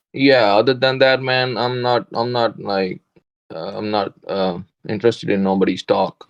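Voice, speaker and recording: A man with a non-native accent at medium pitch, a moderate pace and ordinary pitch variation, in a dry, close sound with no echo. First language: not English. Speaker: day trader. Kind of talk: casual chat.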